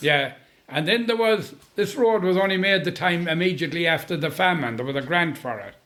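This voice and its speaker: With a western Irish accent, a man talks at a fairly quick pace in a high pitch, his tone bright and sharp and his intonation lively. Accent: rural west of Ireland. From Boyle, County Roscommon, Ireland. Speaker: storyteller. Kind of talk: interview answer. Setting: kitchen chat over tea.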